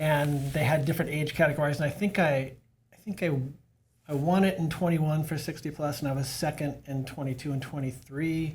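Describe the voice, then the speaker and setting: Intonation stays fairly even in this somewhat breathy voice. It moves along fairly quickly. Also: man, fairly high pitch for a man. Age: 60s. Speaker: masters bike racer and cycling coach. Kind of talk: casual podcast conversation.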